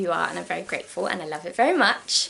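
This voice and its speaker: A woman in an English accent at a very fast pace, with noticeable background noise. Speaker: sewing vlogger. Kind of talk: casual haul vlog. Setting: at home, downstairs.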